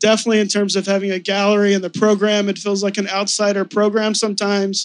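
Fairly quick in pace, a man speaks. His pitch is high. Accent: American. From Texas. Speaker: gallery owner. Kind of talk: panel discussion. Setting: stage with audience.

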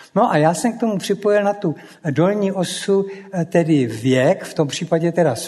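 With noticeable background noise behind him, a man talks in a high voice whose pitch varies in an ordinary way. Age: old. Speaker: former pilot. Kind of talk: public talk.

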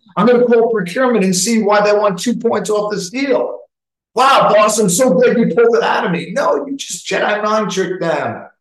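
With an American accent, a man speaks at a moderate pace and high pitch, and the room's echo is audible. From New York. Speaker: sales leadership coach. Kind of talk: interactive webinar talk.

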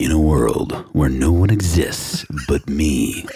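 The put-on character voice unfolds at a fairly slow pace. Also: man, very deep, low pitch for a man. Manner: dramatic, epic.

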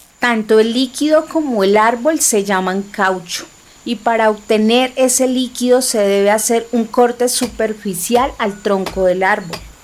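With noticeable background noise behind her, a woman with a fairly high pitch talks at a fairly slow pace with ordinary pitch variation. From Bogotá, Colombia. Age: 30s. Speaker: podcast narrator, political scientist. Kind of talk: scripted narration.

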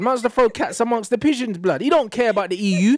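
A man with a London accent speaks at a very fast pace with lively intonation, in a dry, close sound with no echo and a very clean recording with a silent background. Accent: London multicultural English. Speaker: social media commentator. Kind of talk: casual chat. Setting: studio. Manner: animated.

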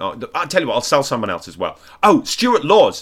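In a very clean recording with a silent background, a man talks with an English accent. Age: 40s. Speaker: comedian. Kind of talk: reading aloud; casual chat.

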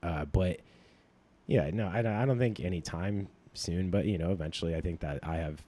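A man with an American accent speaks in a dark, mellow tone. His pace is moderate, and the recording is very clean with a silent background. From upstate New York. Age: 30s. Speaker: comedy club manager. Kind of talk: casual chat. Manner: subdued.

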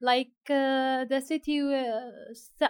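Her voice is high-pitched for a woman and delivered in a monotone, flat intonation. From Syria, Aleppo. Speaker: aid communications worker. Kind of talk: interview. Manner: halting, many fillers.

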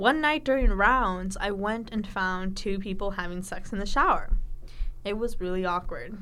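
With music in the background, a woman speaks at medium pitch and a moderate pace with ordinary pitch variation. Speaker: student radio storyteller. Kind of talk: casual radio storytelling, chatty. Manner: animated, casual, laughing.

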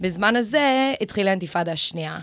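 Speaking with a non-native accent, a woman uses lively intonation at a moderate pace in a very clean recording with a silent background. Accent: non-native Hebrew. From Los Angeles, US, then Israel from age nine. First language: English (speaking Hebrew). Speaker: Israel advocacy educator. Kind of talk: radio interview. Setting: radio studio. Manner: code-switching Hebrew and English.

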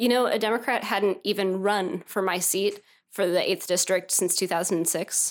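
A woman speaks with a Midwestern American accent at a medium pitch and fairly even intonation. The recording is very clean, with a silent background. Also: moderate pace. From Northeast Missouri. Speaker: political candidate. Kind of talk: interview.

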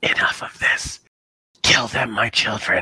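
Putting on a character voice, a man sounds raspy. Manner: menacing, commanding.

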